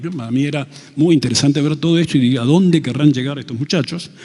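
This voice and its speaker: A man talks at a very fast pace. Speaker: retired university vice-rector and engineer. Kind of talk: panel talk.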